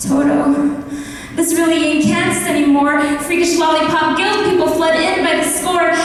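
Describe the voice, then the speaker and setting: A woman speaks at an extremely high pitch with monotone, flat intonation and very even loudness. Noticeable background noise runs underneath. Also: moderate pace. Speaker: spoken word poet. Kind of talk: spoken word poetry performance. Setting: live event in a church.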